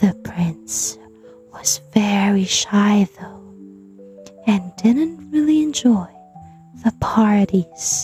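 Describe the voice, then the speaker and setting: Over music in the background, a soft-spoken woman talks at a very slow pace with long, frequent pauses and big swings in loudness. Her medium-pitched voice has a gentle tone and lively intonation. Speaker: bedtime story narrator. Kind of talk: sleep story, children's bedtime story reading. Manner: soft, gentle, calming.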